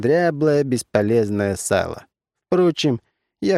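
Lively intonation colors a natural reading voice. Everything around it is quiet.

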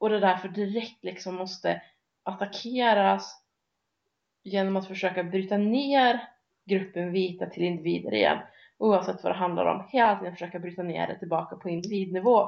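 Speaking at a moderate pace in a normal speaking voice, a woman keeps her intonation fairly even at a medium pitch. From Sweden. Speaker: podcast co-host. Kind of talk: casual discussion.

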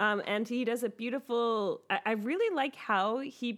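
A woman's fairly high voice at a fairly slow pace, an unremarkable speaking voice. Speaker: podcast host. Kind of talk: casual chat.

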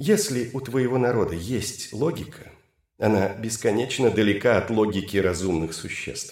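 The speaker has a natural reading voice. The background is quiet.

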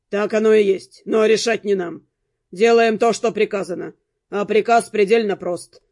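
The speaker is reading aloud in a natural voice with fairly even intonation. The background is quiet.

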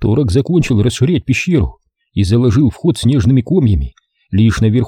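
Lively intonation marks a natural reading voice. The background is quiet.

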